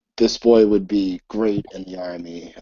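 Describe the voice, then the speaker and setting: A man speaks in a put-on character voice. His pitch is fairly low and his pace moderate. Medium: actual play. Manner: curt, commanding.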